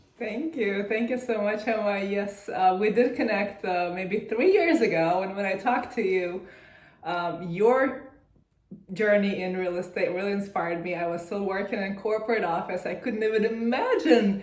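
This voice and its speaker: A woman's moderately paced speech is heard with audible room echo and noticeable background noise. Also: medium pitch for a woman, ordinary pitch variation. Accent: Russian. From Russia. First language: Russian. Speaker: real estate investor. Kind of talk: interview.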